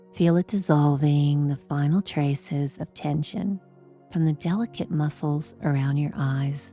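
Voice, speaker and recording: Over music in the background, a woman speaks at a very deep, low pitch. Her pace is fairly slow and her tone gentle and soothing. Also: ordinary pitch variation. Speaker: sleep hypnosis guide. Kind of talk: guided sleep meditation. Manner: slow, gentle, soothing.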